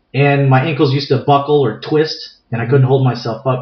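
Somewhat breathy, a man with an American accent and medium pitch speaks at a moderate pace with fairly even intonation. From San Diego, California. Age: 40s. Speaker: martial arts instructor. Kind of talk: interview. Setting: recorded live in Escondido, near San Diego.

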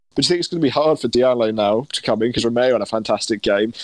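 A man with a medium pitch rushes through his words at a very fast pace. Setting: remote call.

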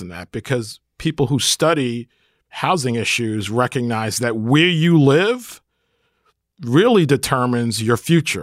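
A man with an American accent talks in a plain, everyday voice at a medium pitch with lively intonation. The recording is very clean, with a silent background and a dry, close sound with no echo. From Brooklyn, New York. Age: 50s. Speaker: podcast co-host, housing developer. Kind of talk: casual chat.

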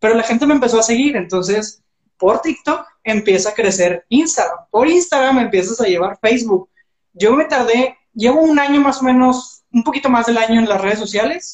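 Fairly high in pitch, this woman uses lively intonation at a moderate pace, her loudness very even. It is an ordinary speaking voice. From Mexico, Monterrey. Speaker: entrepreneur and social media coach. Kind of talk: casual interview. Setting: Instagram live stream.

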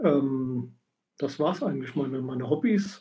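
A man's voice comes across dark and mellow and somewhat breathy. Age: 50s. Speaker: sport shooter and shooting coach. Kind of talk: casual chat. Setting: livestream.

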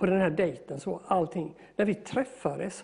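A man with a high-pitched voice speaks at a moderate pace in a dark, mellow tone, with ordinary pitch variation. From Sweden, moved around as child. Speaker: electrician and piano tuner. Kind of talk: interview testimony.

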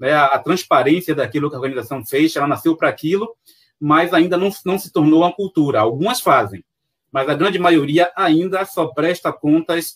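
A man is speaking. He has a Bahian accent. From Salvador, Bahia, Brazil. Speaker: accountant and consultant. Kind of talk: live-streamed panel interview.

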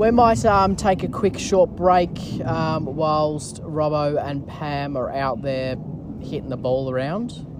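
Very slow speech in an Australian accent over noticeable background noise. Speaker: cricket commentator podcast host. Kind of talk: sports commentary, casual and chatty. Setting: outdoors at a cricket ground. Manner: playful, bantering, filler-heavy, halting with ums.

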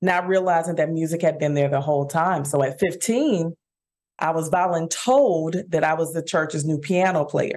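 A woman with an American accent, fairly low pitch, energetic tone, ordinary pitch variation, very even loudness and a moderate pace. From Dallas, Texas (Oak Cliff). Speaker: musician and voice instructor. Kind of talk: interview.

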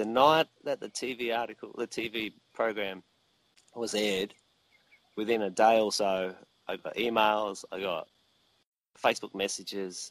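A man speaks with an Australian accent at a fairly low pitch and a fairly slow pace. His intonation stays fairly even, and the sound is dry and close with no echo. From Australia (Victoria). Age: 40s. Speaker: mead maker. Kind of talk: interview. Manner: halting, many fillers and repetitions.

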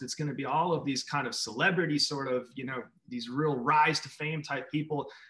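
Fairly quick in pace, a man with an American accent and an ordinary speaking voice talks at a fairly high pitch with ordinary pitch variation. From Minneapolis, US Midwest. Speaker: artist and school speaker. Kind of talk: interview.

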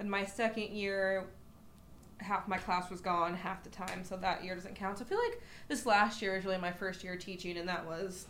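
Here a woman talks at a medium pitch and moderate pace with monotone, flat intonation. There is noticeable background noise and audible room echo. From small town. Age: 20s. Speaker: podcast co-host. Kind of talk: casual chat.

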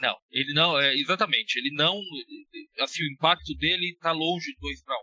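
At a moderate pace, a man with a fairly high pitch and vocal fry talks with fairly even intonation. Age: 30s. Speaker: basketball analyst. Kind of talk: casual chat.

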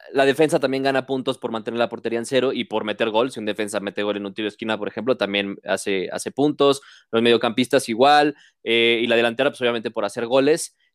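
With a Mexican accent, a man talks at a very fast pace and a medium pitch, with fairly even intonation. The recording is very clean and dry, with a close sound, no echo and a silent background. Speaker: sports podcast host. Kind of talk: casual chat.

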